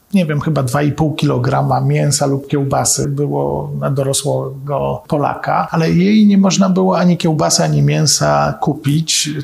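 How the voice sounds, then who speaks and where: Fairly slow speech with hardly any pauses, over noticeable background noise. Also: man. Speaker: historian. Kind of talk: lecture.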